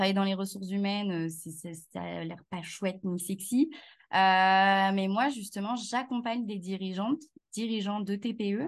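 A woman with a plain, everyday voice, moderate pace and ordinary pitch variation. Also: quiet background. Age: 30s. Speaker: HR consultant and business founder. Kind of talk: casual interview chat.

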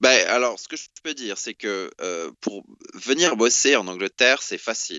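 At a fairly slow pace, a man with an unremarkable speaking voice talks at medium pitch with lively intonation. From France. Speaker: French expatriate in London. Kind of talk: interview conversation.

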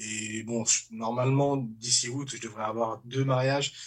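A man with a medium pitch talks fairly slowly, his intonation flat and monotone. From Paris suburbs, France. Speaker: comedian. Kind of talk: casual chat. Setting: studio.

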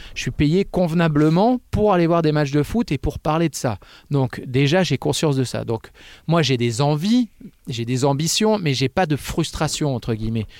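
A man with an unremarkable speaking voice and a fairly high pitch talks with lively intonation. The sound is dry and close with no echo, in a very clean recording with a silent background. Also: moderate pace. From Picardie, northern France (Oise). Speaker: football commentator. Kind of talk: casual interview. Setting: studio.

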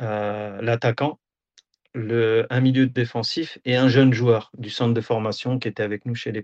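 A man at medium pitch speaks at a fairly slow pace in a monotone, flat intonation. His loudness swings widely against a quiet background. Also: dry, close sound with no echo. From France, Auxerre (Burgundy). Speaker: football video analyst and assistant coach. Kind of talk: interview. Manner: hesitant, many fillers.

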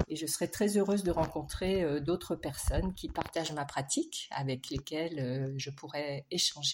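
A woman talks with hardly any pauses in a very deep, low pitch with ordinary pitch variation. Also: fairly slow pace. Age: 60s. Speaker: textile artist and dyer. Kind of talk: recorded self-introduction.

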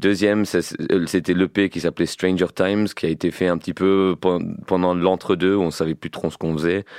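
Set against a quiet background in a dry, close sound with no echo, a man with a very deep, low pitch speaks at a moderate pace in a monotone, flat intonation. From England. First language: English (speaking French). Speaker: rapper. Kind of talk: casual interview chat.

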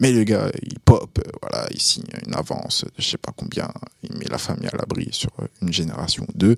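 A man speaks at a fairly quick pace, his loudness swinging widely. The sound is dry and close, with no echo. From Burkina Faso. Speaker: rapper. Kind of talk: casual chat. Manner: halting.

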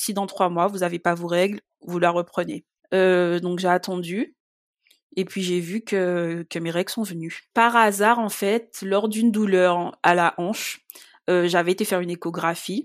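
In a very clean recording with a silent background, a woman with an unremarkable speaking voice talks at a medium pitch and moderate pace. The sound is dry and close with no echo, and her intonation is fairly even. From Guadeloupe. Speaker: patient sharing illness experience. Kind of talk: testimony.

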